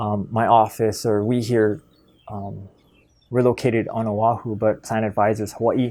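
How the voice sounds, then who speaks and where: A man speaks at a moderate pace in a medium pitch, his dark, mellow tone held in a monotone, flat intonation on a very clean recording with a silent background. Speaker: Medicare insurance advisor. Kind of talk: tutorial.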